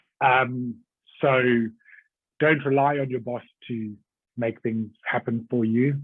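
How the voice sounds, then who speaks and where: Speaking at a very slow pace, a man with a South African accent keeps his intonation fairly even. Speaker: executive assistant. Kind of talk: podcast interview. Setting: podcast.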